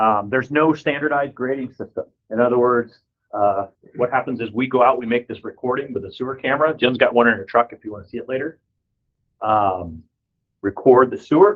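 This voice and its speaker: At a fairly quick pace, a man speaks at a medium pitch with ordinary pitch variation and big swings in loudness. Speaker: plumber giving a presentation. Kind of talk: presentation to an audience. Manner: fast.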